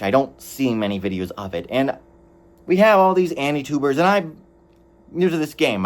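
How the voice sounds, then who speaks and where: The voice is loud and moves at a moderate pace with very wide pitch swings. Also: man. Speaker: anime reviewer. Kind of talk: video review monologue. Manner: halting, self-correcting.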